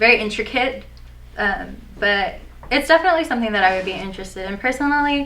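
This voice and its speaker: Over noticeable background noise and audible room echo, a woman with a fairly high pitch talks at a very fast pace, her intonation lively and her loudness swinging widely. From US, Persian American family. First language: Farsi. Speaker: aspiring actor. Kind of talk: mock job interview. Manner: hesitant, many fillers.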